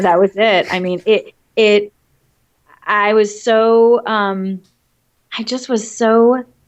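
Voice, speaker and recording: A woman in an American accent speaks at a very slow pace, with a fairly high pitch and long, frequent pauses. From Massachusetts. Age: 40s. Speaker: television producer. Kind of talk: interview. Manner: animated.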